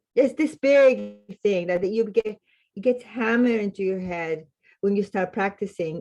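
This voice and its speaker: Lively intonation from a woman in a Spanish accent. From Latin America, Spanish-speaking. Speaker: clinical social worker. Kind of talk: podcast interview.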